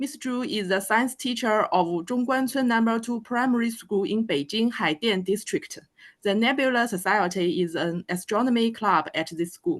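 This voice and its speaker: Against a quiet background, a woman with a Chinese accent speaks at a fairly high pitch and moderate pace with lively intonation. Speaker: planetarium educator. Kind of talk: speaker introduction. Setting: video call.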